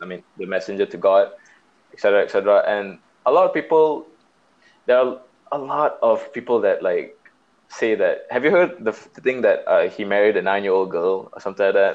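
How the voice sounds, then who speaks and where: Long, frequent pauses break up a man's speech, which moves at a moderate pace. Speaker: podcast host. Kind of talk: casual chat. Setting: phone call.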